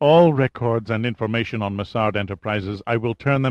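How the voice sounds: Here we have a natural reading voice that shows ordinary pitch variation.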